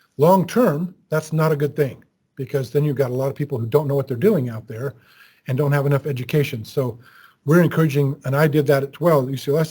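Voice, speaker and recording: A man talks at a very fast pace with a fairly high pitch and a dark, mellow tone. He sounds somewhat breathy, and the recording is very clean with a silent background. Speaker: university instructor. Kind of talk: lecture.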